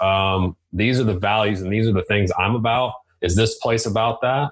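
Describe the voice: With fairly even intonation, a man speaks at a fairly low pitch. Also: moderate pace.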